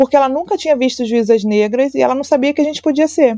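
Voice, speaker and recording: A woman with a high, dark, mellow voice and ordinary pitch variation is recorded with a dry, close sound and no echo. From Brazil, Rio de Janeiro. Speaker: labour court judge. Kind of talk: interview.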